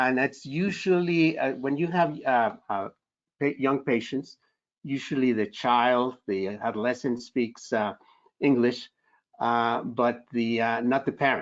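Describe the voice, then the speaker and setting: This man has a Spanish accent and a medium pitch. He talks at a fairly slow pace. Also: ordinary pitch variation. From Spanish-speaking country, immigrant. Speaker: psychiatrist. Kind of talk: Q&A answer in a webinar. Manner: halting, many fillers.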